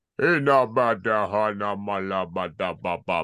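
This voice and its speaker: A man's put-on character voice, fairly low in pitch, over a quiet background. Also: fairly slow pace. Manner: making noises instead of words.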